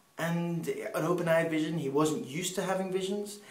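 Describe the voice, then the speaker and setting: The speaker keeps a moderate pace amid audible room echo and noticeable background noise. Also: man. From Peru, English parents. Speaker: missionary speaker. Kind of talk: personal testimony.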